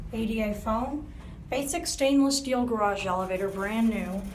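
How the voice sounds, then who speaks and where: Over light background noise, the speaker moves at a fairly slow pace with ordinary pitch variation. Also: woman. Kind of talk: casual commentary. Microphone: phone near.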